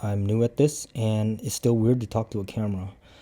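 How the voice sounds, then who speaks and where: A man with a Cambodian accent speaks at a fairly low pitch in a dark, mellow tone. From Cambodian background, English learned by age nine. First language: Khmer. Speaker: martial arts instructor and vlogger. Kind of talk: casual vlog talk to camera. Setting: talking to a camera. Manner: halting, with many fillers.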